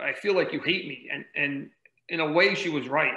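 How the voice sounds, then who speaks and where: This man's voice sits at a fairly high pitch and has a bright, sharp tone. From New Jersey, near Manhattan. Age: 40s. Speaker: ultrarunner and running coach. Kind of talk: podcast interview, personal story.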